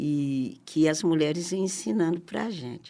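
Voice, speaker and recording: In an ordinary speaking voice, a woman talks at a fairly slow pace. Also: very clean recording, silent background. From Brazil, Minas Gerais (Barbacena). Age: 60s. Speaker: community activist. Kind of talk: interview.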